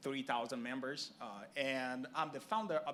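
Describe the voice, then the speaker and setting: Speaking with a Brazilian Portuguese accent, a man moves at a fairly quick pace with fairly even intonation over noticeable background noise. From Brazil, Rio de Janeiro. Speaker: sports organization executive. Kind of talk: panel discussion. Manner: careful enunciation.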